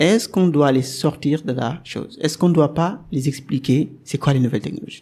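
At a fairly quick pace, a man talks with a Senegalese accent and ordinary pitch variation. His voice is fairly high, somewhat breathy, and dark and mellow in tone. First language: Wolof (speaking French). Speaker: software developer and podcaster. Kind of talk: interview. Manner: hesitant, many fillers.

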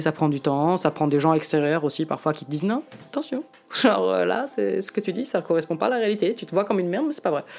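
This woman talks very fast in a very deep, low voice. Background noise is noticeable throughout. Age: 30s. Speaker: photographer and reporter. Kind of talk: casual interview talk. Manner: halting.

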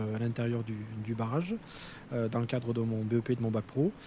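Medium in pitch, a man talks at a moderate pace. His is an unremarkable speaking voice. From Corrèze area, central France. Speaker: plant coordinator. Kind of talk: interview.

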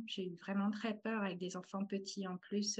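Somewhat breathy, a woman speaks at a fairly slow pace in a medium pitch. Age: 30s. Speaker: translator turned artist. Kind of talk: testimony. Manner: halting.

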